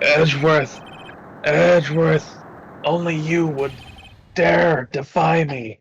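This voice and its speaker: A raspy, put-on character voice at a low-to-middle pitch. It moves at a very slow pace with long, frequent pauses. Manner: menacing, commanding.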